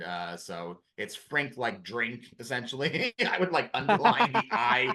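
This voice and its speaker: In a Chicago accent, a man speaks at a fairly slow pace and medium pitch with very wide pitch swings, a bright, sharp tone and vocal fry. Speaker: former high school history teacher. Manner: hesitant, many fillers.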